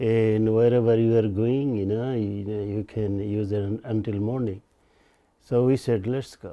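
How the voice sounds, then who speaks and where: A man with a Bengali accent at a moderate pace and medium pitch. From Bangladesh. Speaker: storyteller recounting his life. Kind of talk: personal storytelling interview.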